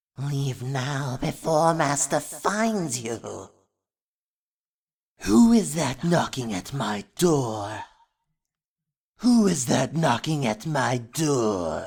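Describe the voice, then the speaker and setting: A put-on character voice sits at a low-to-middle pitch and moves at a very slow pace with long, frequent pauses. The recording is very clean, with a silent background. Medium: sound effect. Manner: creepy.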